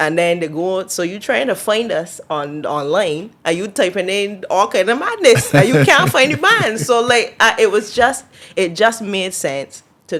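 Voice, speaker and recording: Over noticeable background noise, a woman with a Barbadian accent speaks at a moderate pace and medium pitch, with very wide pitch swings and big swings in loudness. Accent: Barbadian (Bajan). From Barbados. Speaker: singer. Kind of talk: interview answer.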